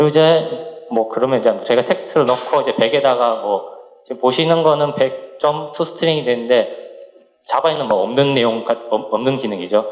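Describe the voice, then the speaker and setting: A man talks at a fairly quick pace with a fairly high pitch. Noticeable background noise and audible room echo surround him. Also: ordinary pitch variation. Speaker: software developer, conference speaker. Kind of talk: technical conference talk. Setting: conference stage with audience. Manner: fast; halting, many restarts.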